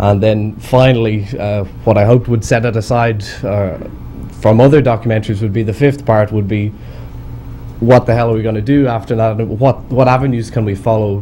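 With a plain, everyday voice, a man talks at a fairly quick pace, at medium pitch, with fairly even intonation and light background noise. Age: 20s. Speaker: amateur researcher; conference presenter. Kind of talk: audience discussion. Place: meeting room.

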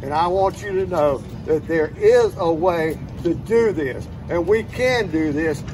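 Fairly high-pitched male voice with lively intonation, a fairly slow pace, and noticeable background noise. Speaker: private investigator and veteran. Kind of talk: rally speech. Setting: outdoor rally with crowd. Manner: earnest, emotional, urgent.

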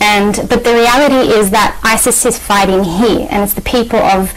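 At a moderate pace, a woman speaks with an Australian accent and ordinary pitch variation. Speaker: journalist and activist. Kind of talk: TV interview. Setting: TV studio. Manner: halting, many fillers. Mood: earnest, calm. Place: studio.

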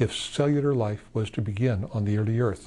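A man speaks at a moderate pace with ordinary pitch variation. His tone is dark and mellow and somewhat breathy. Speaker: scientist; interviewee. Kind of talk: lecture. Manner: calm. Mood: gentle, calm. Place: studio.

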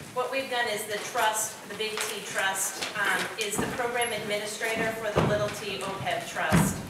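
Amid loud background noise and audible room echo, a woman speaks at a moderate pace with hardly any pauses. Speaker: council presenter. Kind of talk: formal presentation. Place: hall.

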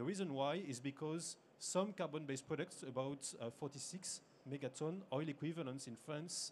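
A man talks at a moderate pace with ordinary pitch variation. Light background noise can be heard. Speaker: conference presenter. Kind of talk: lecture. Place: hall.

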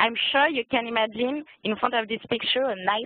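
Speaking at a moderate pace, a woman with a French accent shows ordinary pitch variation. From France. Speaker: hotel events coordinator. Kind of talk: sales presentation.

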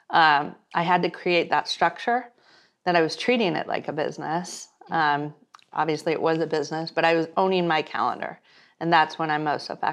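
A woman with an American accent speaks at a fairly low pitch and a moderate pace. Her pitch varies in an ordinary way against a quiet background. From San Diego, California; California. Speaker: media and business entrepreneur; interview guest. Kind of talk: interview. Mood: warm, reflective. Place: home room.

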